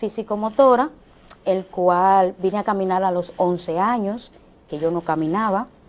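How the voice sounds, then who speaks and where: A woman speaks at a fairly slow pace. Her medium pitch rises and falls with ordinary variation. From Dominican Republic, Santo Domingo. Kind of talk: TV interview testimony. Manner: halting, many fillers.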